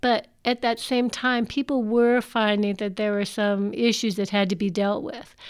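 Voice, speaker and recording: A woman with a normal speaking voice and an American accent, fairly high in pitch, at a moderate pace with hardly any pauses and fairly even intonation, on a very clean recording with a silent background. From US, Washington DC / Maryland area. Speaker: cult survivor and speaker. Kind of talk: personal testimony talk.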